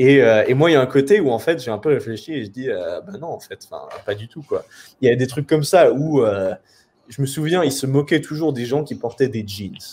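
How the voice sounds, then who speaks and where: A man speaks at medium pitch and a moderate pace with a dark, mellow tone. His intonation is lively. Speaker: web entrepreneur and copywriter. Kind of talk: interview conversation. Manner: halting, many fillers.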